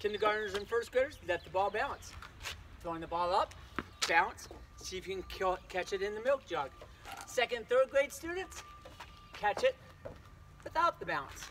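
A man at a moderate pace, with long, frequent pauses over noticeable background noise. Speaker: physical education teacher. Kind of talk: tutorial. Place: street. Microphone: camera far.

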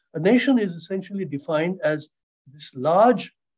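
Quiet background behind a man's voice. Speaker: professor explaining a concept. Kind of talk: interview answer. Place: home room. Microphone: video call.

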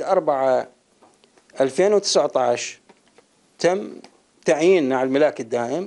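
The man talks very slowly with lively intonation, the background quiet. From Iraq. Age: 60s. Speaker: retired power station employee. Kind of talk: interview testimony. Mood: aggrieved, complaining. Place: home room. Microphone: handheld.

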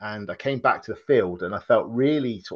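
A man's fairly quick delivery with ordinary pitch movement against a quiet background. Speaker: podcast guest, laughter yoga facilitator. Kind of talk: interview answer. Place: home room. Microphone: video call.

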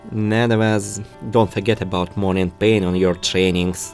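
A man with a non-native accent speaks at a moderate pace. Music plays in the background. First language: non-native English speaker. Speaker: gaming YouTuber. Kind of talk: gameplay story narration.

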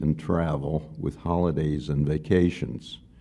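A man speaks at a fairly slow pace in a very deep, low voice. His intonation is fairly even. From Austria. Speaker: memoir writer. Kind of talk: reading aloud. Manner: loud. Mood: calm, reflective. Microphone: studio mic.

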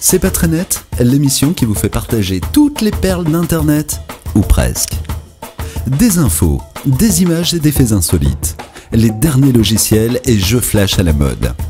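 Clear music plays in the background as a man speaks with very wide pitch swings. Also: medium pitch for a man. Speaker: voice actor. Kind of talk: TV show teaser promo narration. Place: studio. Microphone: studio mic.

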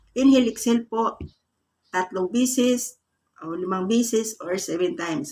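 Her voice has a dark, mellow tone and fairly high pitch for a woman. She speaks at a moderate pace with lively intonation. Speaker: YouTube vlogger giving manifestation tips; vlogger giving a prosperity ritual tutorial. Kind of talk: guided meditation-style instructions for a morning manifestation ritual. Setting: video channel address to viewers. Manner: polite, repeating 'po' and 'guys' while guiding step by step. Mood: calm, earnest, soft. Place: home room. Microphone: phone near.

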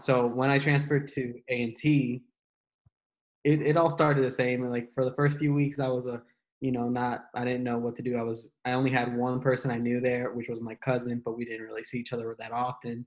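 Against a quiet background, a man talks in a monotone, flat intonation. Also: medium pitch for a man, fairly quick pace. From North Carolina. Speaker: university student; panelist. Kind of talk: casual chat. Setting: video call. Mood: calm, reflective storytelling. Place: home room. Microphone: video call.

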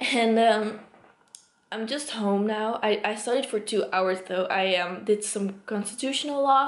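Fairly even intonation comes through with audible room echo. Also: woman. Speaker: student vlogger. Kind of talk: casual vlog chat. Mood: frustrated, a bit laughing. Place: home room. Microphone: phone near.

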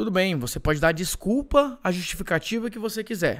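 A man speaks with very wide pitch swings. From Brazil, Ceará. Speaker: digital marketing entrepreneur and course seller. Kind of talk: live webinar sales pitch. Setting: online live stream. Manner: animated.

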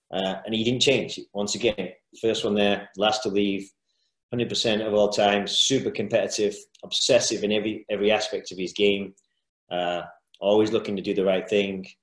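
The intonation is monotone and flat. The background is quiet, though room echo is audible. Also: man, fairly low pitch for a man, moderate pace. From UK. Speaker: youth football coach; youth soccer coach presenter. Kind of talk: lecture. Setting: video call. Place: home room. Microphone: webcam.

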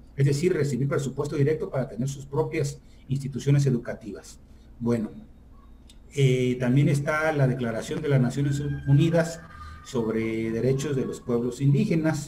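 A man with a normal speaking voice talks at a moderate pace. His pitch is fairly high and his intonation fairly even. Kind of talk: lecture. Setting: video call.

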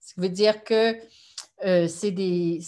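A woman at a very slow pace, fairly even intonation, quiet background. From Quebec, Gatineau; Quebec. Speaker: sociology professor. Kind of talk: lecture. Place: home room. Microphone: webcam.

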